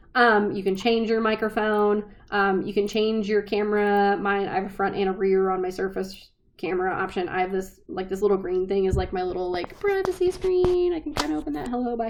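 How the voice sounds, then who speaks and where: Pitch moves in an ordinary way. The speech runs at a fairly quick pace. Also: woman, medium pitch for a woman. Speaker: small business event organizer. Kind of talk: tutorial. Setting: recording from home. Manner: casual, filler-heavy.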